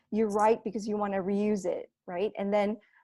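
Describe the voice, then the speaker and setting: In a very clean recording with a silent background, a woman speaks fairly slowly at a fairly high pitch, her tone dark and mellow. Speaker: robotics educator. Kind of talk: tutorial.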